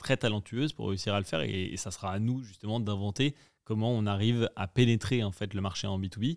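A man's fairly low-pitched voice at a fairly quick pace, an ordinary speaking voice with ordinary pitch variation, dry and close with no echo, on a very clean recording with a silent background. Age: 30s. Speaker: entrepreneur. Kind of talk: casual chat.

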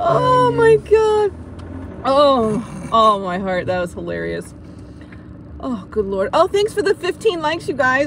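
A woman speaks very slowly in an American accent. The sound is dry with no echo, and background noise is noticeable. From United States. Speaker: vlogger. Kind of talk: live stream chat while driving. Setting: in a car. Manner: animated. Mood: amused, relaxed. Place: car. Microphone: phone near.

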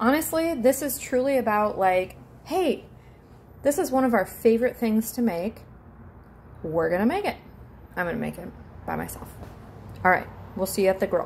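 Over light background noise, a woman talks at a moderate pace with very wide pitch swings and long, frequent pauses. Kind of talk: casual vlog chat. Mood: chatty, playful. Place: kitchen. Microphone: phone near.

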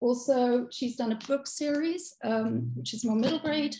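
With an English accent, a woman speaks at a high pitch in a dark, mellow tone, with audible room echo. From England. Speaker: children's workshop presenter; presenter. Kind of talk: hosting a live workshop. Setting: video call. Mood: warm, friendly. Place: home room. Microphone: video call.

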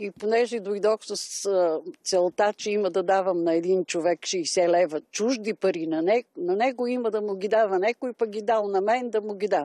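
A woman's dark, mellow voice at a moderate pace, with ordinary pitch variation, dry sound with no echo and a quiet background. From Bulgaria. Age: 80s+. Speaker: pensioner; interviewee. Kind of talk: testimony. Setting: outdoors. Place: garden. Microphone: handheld.

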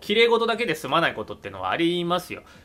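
Faint music plays in the background. A man is speaking over it. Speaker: commentator. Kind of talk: casual commentary on a TV drama. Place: home room. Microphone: webcam.

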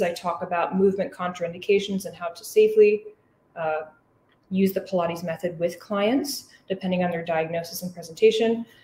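The voice is somewhat breathy. Audible echo from the room can be heard. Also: woman. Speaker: physical therapist. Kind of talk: lecture. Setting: live audience in person and online. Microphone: webcam.

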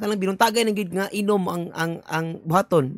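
A man with a Cebuano accent, high-pitched, at a fairly quick pace, dry with no echo against a quiet background. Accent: Cebuano-speaking Filipino. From Philippines, Visayas. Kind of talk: video commentary. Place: home room.

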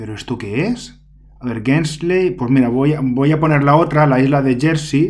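This man's somewhat breathy voice has a fairly high pitch and ordinary pitch variation, moving at a moderate pace. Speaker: secondary school teacher. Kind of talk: casual solo gameplay commentary. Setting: home recording. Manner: chatty, hesitant with fillers.

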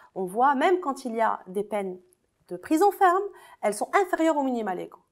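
A woman with a high voice talks at a fairly quick pace, her pitch swinging very widely. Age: 30s. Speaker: lawyer and feminist activist. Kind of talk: interview.

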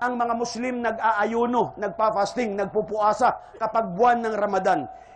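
A Western Visayan accent at a moderate pace, with audible room echo and noticeable background noise. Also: man. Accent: Ilonggo. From Philippines, Iloilo. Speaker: Islamic preacher. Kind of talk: religious lecture.

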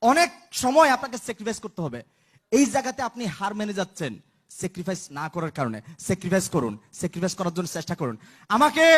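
This man has a high pitch and very wide pitch swings. The sound is dry and close, with no echo. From Bangladesh, Chittagong (Lohagara). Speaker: network marketing member. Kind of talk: motivational stage speech. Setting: stage with audience.

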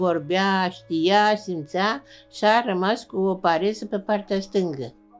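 A woman's medium-pitched voice, very slow, with ordinary pitch variation and music in the background. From Romania. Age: old. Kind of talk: documentary interview answer.

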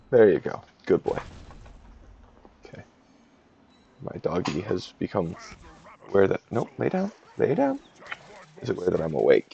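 A man mumbles quietly at a moderate pace, his loudness swinging widely, with long, frequent pauses, a dry sound with no echo and light background noise. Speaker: game commentator. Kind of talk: gameplay analysis commentary. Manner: mumbling, quiet. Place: home room.

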